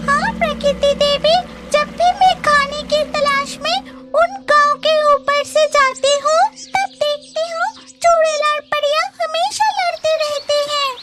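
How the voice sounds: A female-sounding cartoonish character voice, pitched extremely high, speaks at a fairly slow pace while faint music plays in the background.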